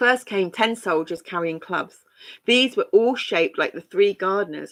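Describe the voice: Intonation stays lively during this plain read-aloud.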